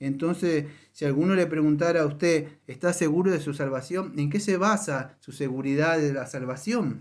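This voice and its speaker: Ordinary pitch movement in a fairly high male voice. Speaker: pastor. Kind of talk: sermon. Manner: fast.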